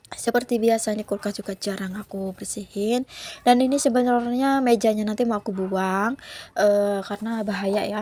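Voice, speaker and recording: A woman's dark, mellow voice, fairly high-pitched, at a moderate pace with fairly even intonation. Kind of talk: casual, chatty.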